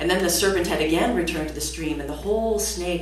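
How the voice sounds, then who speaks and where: A woman speaks at a very fast pace with an American accent. Noticeable noise can be heard behind her. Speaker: storyteller. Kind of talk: live folktale storytelling performance to an audience. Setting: live concert stage.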